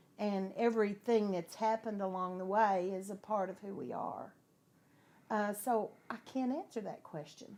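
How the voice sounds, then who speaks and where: With an Arkansas accent, a woman speaks at a moderate pace in a dark, mellow, medium-pitched voice with fairly even intonation. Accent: Southern US (Arkansas). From US South. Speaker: interviewee sharing life story. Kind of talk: talk show interview.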